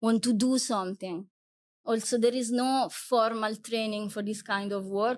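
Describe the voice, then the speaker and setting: In an Italian accent, a woman speaks at a fairly slow pace. Her pitch is fairly high and her intonation fairly even. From Italy. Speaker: wildlife guide and photographer. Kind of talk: interview conversation.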